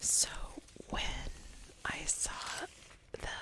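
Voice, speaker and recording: Very slow whispering from a woman amid noticeable background noise. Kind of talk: ASMR knitting podcast. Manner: whispered.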